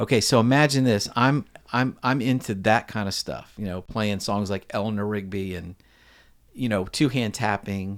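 A man talks at a moderate pace in a fairly low pitch with ordinary pitch variation, a normal speaking voice. The recording is very clean, with a silent background. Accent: American. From US, Virginia. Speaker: session guitarist. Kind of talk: casual interview chat.

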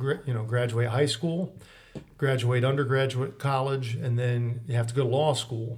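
In audible room echo, a man with an American accent speaks at medium pitch and a moderate pace with fairly even intonation. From Mansfield, Ohio. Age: 30s. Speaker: attorney. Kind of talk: interview.

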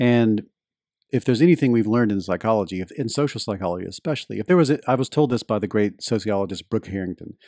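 Speaking very fast with a Southern US accent, a man uses a medium pitch, lively intonation and a dark, mellow tone, recorded dry and close with no echo against a quiet background. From US Deep South. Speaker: journalist and podcaster. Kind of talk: interview conversation.

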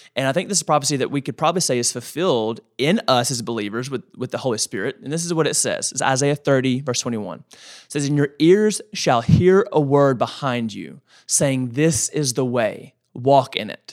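A man talks in a normal speaking voice at a moderate pace, with ordinary pitch variation and hardly any pauses. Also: fairly high pitch for a man, very clean recording, silent background. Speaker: pastor and podcast co-host. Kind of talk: casual podcast chat on faith. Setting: studio.

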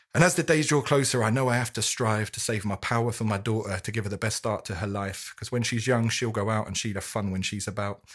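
Heard in a very clean recording with a silent background, a man with a normal speaking voice talks at a fairly quick pace, his medium pitch moving with ordinary variation. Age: 30s. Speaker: amateur poet. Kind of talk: poetry reading.

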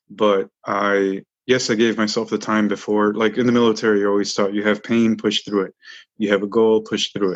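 Monotone, flat intonation from a man with an American accent and a fairly low pitch, over a quiet background. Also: fairly quick pace. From Chicago suburbs. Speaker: war veteran. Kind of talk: interview.

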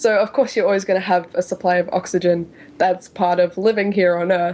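Medium-pitched woman with an Australian accent, moderate pace and fairly even intonation. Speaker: science podcast co-host. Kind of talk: explanatory casual chat.

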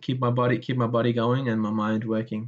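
The man's pitch sits at a medium level. He speaks at a very fast pace. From Iraq. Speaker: architecture graduate. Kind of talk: interview. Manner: halting, repeats words.

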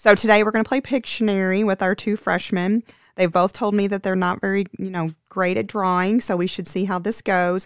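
A woman talks at a fairly quick pace with hardly any pauses, using a plain, everyday voice at medium pitch and fairly even intonation. The very clean recording has a silent background and a dry, close sound with no echo. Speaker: school president and podcast host. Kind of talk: casual interview.

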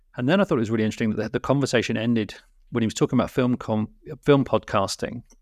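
A man with a British accent speaks with fairly even intonation in a dry, close sound with no echo, the recording very clean and the background silent. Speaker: podcast co-host and film educator. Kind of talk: casual chat. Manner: hesitant, many fillers.

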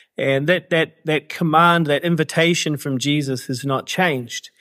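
A New Zealand accent at a moderate pace. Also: man. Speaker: author and activist. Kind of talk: interview conversation. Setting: remote call from Cambodia, evening.

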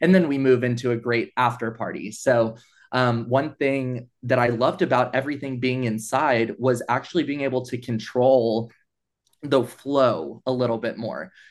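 This man has a normal speaking voice with an American accent and a medium pitch. His intonation is fairly even, and his pace is moderate. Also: quiet background. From East Texas. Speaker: nonprofit events and fundraising manager. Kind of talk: interview conversation.

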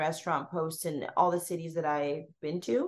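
Amid noticeable background noise, a woman with a Canadian accent talks at a moderate pace. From Canada, Toronto. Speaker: food blogger and recipe developer. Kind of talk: casual interview.

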